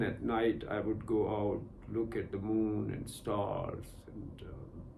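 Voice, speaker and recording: In a Punjabi accent, a man with a somewhat breathy, dark, mellow tone speaks at a very slow pace, with audible room echo. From Pakistan, Punjab. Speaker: meditation and spiritual teacher. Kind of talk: personal testimony in a meditation session. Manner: halting, many fillers.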